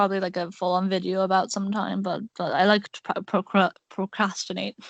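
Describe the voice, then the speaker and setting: Recorded dry and close with no echo, a woman speaks at a moderate pace and medium pitch, with vocal fry in her voice. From Ireland. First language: Irish. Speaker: podcast host. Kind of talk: casual chat. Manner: halting.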